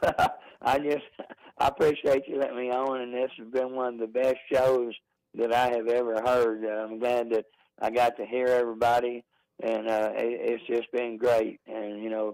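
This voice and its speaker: This man holds a medium pitch and keeps his intonation monotone and flat, delivering his words at a moderate pace. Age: 70s. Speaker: caller. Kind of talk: casual chat. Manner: halting.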